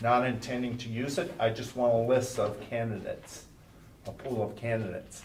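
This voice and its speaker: A medium-pitched male voice at a moderate pace, fairly even in intonation, over noticeable background noise. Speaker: school superintendent. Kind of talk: board meeting report.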